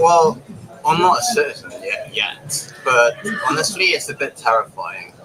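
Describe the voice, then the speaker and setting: A man with a British accent at a fairly slow pace, against noticeable background noise. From England. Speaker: passerby interviewee. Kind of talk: street interview.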